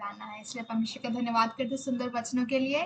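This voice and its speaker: Her voice has a high pitch. A woman talks with monotone, flat intonation. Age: 20s. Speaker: youth meeting host, engineering student. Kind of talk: meeting moderation. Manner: halting.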